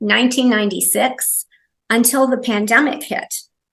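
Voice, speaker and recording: The voice carries vocal fry. It moves at a moderate pace. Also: woman. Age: 60s. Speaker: massage therapist. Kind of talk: interview.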